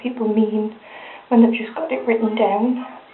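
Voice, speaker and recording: Amid noticeable background noise, a woman with a strong northern English accent speaks at a fairly high pitch in a monotone, flat intonation. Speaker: hair tutorial vlogger. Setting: handheld camera, filming herself.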